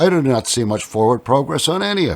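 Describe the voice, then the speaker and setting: His pitch swings very widely. The man keeps a moderate pace. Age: 60s. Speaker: political activist. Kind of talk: interview answers.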